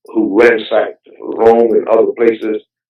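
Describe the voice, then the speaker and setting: A man is talking here. His speech carries a Southern US accent. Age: 70s. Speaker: heritage activist. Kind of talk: interview. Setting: phone call. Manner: halting; animated.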